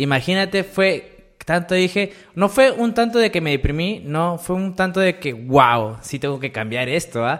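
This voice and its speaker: Very wide pitch swings mark this man's high-pitched voice as he talks at a fairly slow pace. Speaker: YouTuber. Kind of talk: casual chat.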